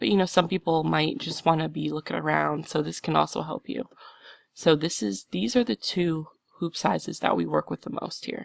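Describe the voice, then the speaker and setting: A woman's voice comes through with a dry sound, no echo and a quiet background. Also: moderate pace. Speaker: embroidery software tutorial maker. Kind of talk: tutorial. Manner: casual, chatty. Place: home room. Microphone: headset.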